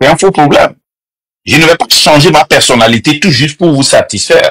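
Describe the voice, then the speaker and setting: A man speaks at a moderate pace with very even loudness, the sound dry and close with no echo. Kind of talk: heated debate. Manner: loud, passionate.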